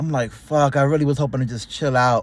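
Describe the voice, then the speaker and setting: This man's fairly high voice sounds animated as he talks at a fairly quick pace. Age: 30s. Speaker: YouTuber. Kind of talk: casual vlog monologue. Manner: casual, animated.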